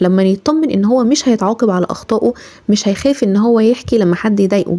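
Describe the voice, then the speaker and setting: At a fairly quick pace, a woman with an Egyptian accent speaks at a fairly high pitch with ordinary pitch variation against noticeable background noise. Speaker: parenting advice creator. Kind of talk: casual talk to camera, parenting advice.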